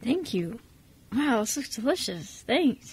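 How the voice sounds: A woman puts on a character voice, fairly high-pitched with a husky, rough edge, swinging widely in pitch at a slow pace.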